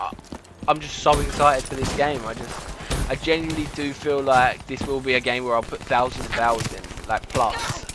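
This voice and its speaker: A man with a British accent talks at a fairly quick pace against noticeable background noise. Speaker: gaming YouTuber. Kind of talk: casual gameplay commentary. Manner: fast.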